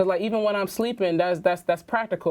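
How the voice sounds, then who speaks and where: A woman talks very fast with fairly even intonation against a quiet background. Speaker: entrepreneur, media company founder. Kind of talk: interview conversation. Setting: sit-down interview.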